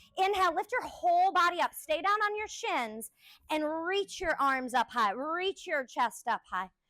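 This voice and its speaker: A woman's raised, projected voice at an extremely high pitch with very wide pitch swings, a bright, sharp tone, a moderate pace, and a dry, close sound with no echo. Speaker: yoga instructor. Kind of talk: live yoga class instruction. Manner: loud.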